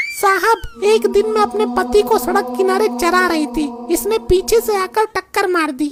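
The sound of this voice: A cartoonish character voice at an extremely high pitch, with very wide pitch swings, a moderate pace and loud background noise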